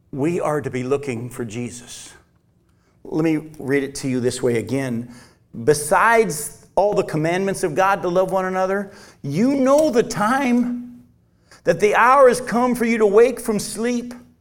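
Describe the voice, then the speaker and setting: At a fairly slow pace, a man with a high pitch speaks in very wide pitch swings, with audible room echo around him. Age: 50s. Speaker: pastor. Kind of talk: sermon.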